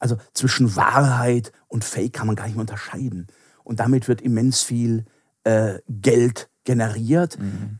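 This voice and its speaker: Speaking at a fairly slow pace, a man with a normal speaking voice keeps a medium pitch and fairly even intonation. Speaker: philosophy professor. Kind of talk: interview.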